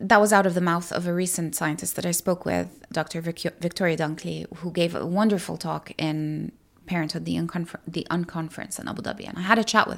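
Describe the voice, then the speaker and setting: Talking at a very fast pace, a woman with a fairly low pitch and vocal fry keeps her intonation fairly even while her loudness swings widely, in a very clean recording with a silent background. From Middle East, raised in many countries. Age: 30s. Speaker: parenting podcaster. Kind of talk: casual interview.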